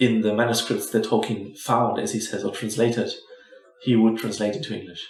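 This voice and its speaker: In a German accent, a man speaks with audible room echo around him. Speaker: movie commentary youtuber. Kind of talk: casual commentary while watching a film. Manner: hesitant, with false starts.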